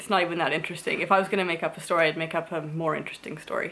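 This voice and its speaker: A woman with a fairly low pitch talks at a very fast pace over noticeable background noise. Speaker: vlogger, mother. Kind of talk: casual vlog storytelling. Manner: rambling, filler-heavy.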